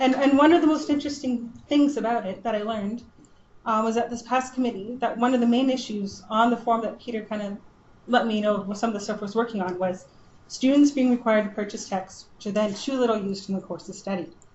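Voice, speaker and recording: A woman's fairly high, somewhat breathy voice at a very fast pace, with ordinary pitch variation and audible room echo. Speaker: librarian. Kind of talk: conference presentation. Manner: mumbling.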